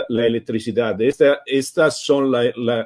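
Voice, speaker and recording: A man talks with an Italian accent. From Italy. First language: Italian (speaking Spanish). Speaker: software foundation co-founder, speaker. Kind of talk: webinar presentation. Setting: live online webinar. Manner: halting, many hesitations.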